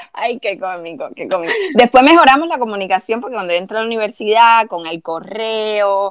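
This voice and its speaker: At a moderate pace, a woman talks in a plain, everyday voice with ordinary pitch variation. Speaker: podcast co-host. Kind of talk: casual chat.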